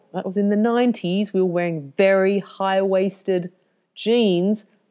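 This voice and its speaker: In an Australian accent, a woman talks at a moderate pace. Her medium-pitched voice has a dark, mellow tone. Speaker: yoga teacher and business coach. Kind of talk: casual podcast monologue. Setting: home recording, main road by the ocean. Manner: chatty, laughs often.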